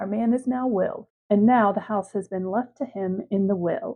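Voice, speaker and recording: A woman speaks at a fairly slow pace. Her pitch is medium, with ordinary pitch variation. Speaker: gaming YouTuber. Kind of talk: casual gameplay commentary.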